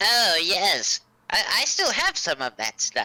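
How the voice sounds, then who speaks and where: This voice is a put-on character with a middle pitch. Its delivery is very slow. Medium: actual play. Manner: calm, plain-spoken.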